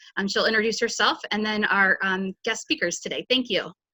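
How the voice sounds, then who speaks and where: Her voice is fairly high, and her intonation stays fairly even. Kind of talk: webinar introduction. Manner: fast.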